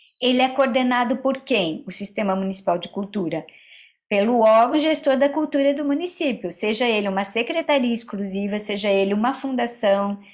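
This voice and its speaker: A woman with an ordinary speaking voice, lively intonation and a moderate pace, in a very clean recording with a silent background. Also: fairly high pitch for a woman. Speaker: cultural policy lecturer. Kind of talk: lecture.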